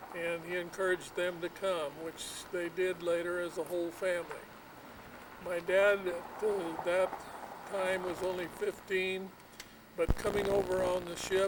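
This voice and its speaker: A man with an American accent talks at a moderate pace in a high pitch, with monotone, flat intonation. There are long, frequent pauses and noticeable background noise. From Michigan, then California from age nine. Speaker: retired rice farmer. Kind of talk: family oral history interview.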